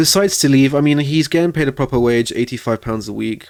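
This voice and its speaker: On a very clean recording with a silent background, a man with a non-native accent speaks at a medium pitch with lively intonation. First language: not English. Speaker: gaming video creator. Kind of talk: gameplay commentary. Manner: casual, hesitant with fillers.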